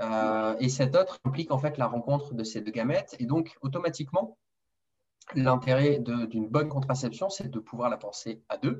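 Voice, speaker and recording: At a moderate pace, a man speaks with a medium pitch, ordinary pitch variation and a somewhat breathy voice. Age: 30s. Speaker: nurse and male contraception developer. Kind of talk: interview. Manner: hesitant, repeats words.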